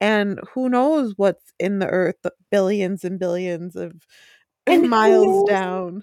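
With a Wisconsin accent, the speaker goes at a very slow pace with ordinary pitch variation and a dry, close sound with no echo. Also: woman, medium pitch for a woman. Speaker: podcast co-host.

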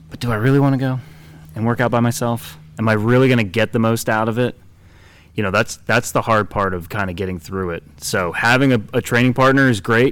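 A man's medium-pitched voice, an ordinary speaking voice, with ordinary pitch variation. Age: 30s. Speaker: fitness podcaster, former college baseball player. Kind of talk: casual chat. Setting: gym warehouse with background noise.

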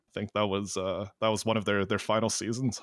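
In a normal speaking voice with a Canadian accent, a man talks at medium pitch with fairly even intonation, recorded very cleanly against a silent background with dry, close sound and no echo. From Alberta, Canada. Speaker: podcast co-host. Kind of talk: casual chat.

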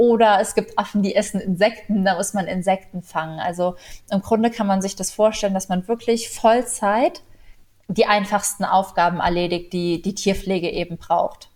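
A woman's plain, everyday voice at medium pitch, with fairly even intonation and a moderate pace. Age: 20s. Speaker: animal welfare volunteer. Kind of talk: interview.

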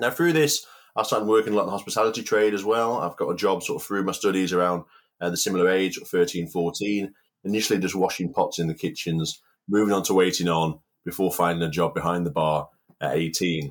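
A man with a Cumbrian accent and a very deep, low pitch, ordinary pitch variation and a fairly quick pace, on a very clean recording with a silent background. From Cumbria, northern England. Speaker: outdoor cook and inspirational speaker. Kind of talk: interview, personal story.

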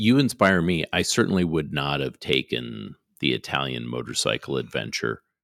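This man has a very deep, low voice with vocal fry and lively intonation, at a moderate pace. The recording is very clean, with a silent background and a dry, close sound with no echo. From Canada. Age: middle-aged. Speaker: oral and maxillofacial surgeon, podcast co-host. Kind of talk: casual chat.

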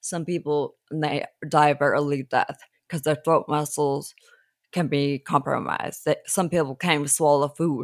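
In a very clean recording with a silent background and a dry, close sound with no echo, a woman with an American accent speaks at a moderate pace, her very deep, low pitch held in a monotone, flat intonation. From Southern California, Los Angeles. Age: 40s. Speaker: person living with ataxia, support group leader. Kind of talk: interview. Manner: halting, repeats words.

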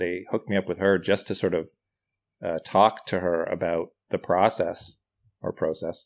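The speech moves at a fairly quick pace with fairly even intonation. The recording is very clean, with a silent background. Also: man. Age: 40s. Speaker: writer, comedian and actor. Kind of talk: casual chat.

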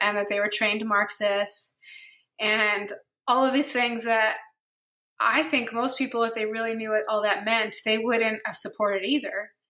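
In an American accent, this voice has a bright, sharp tone, a moderate pace and fairly even intonation, in a very clean recording with a silent background. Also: woman. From New Jersey. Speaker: therapist. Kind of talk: casual interview.

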